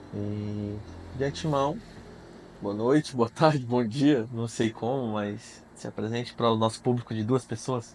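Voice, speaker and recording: A man with an ordinary speaking voice talks at a medium pitch and a moderate pace, keeping his intonation fairly even. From Mato Grosso, Brazil. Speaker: podcast host. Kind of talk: casual interview.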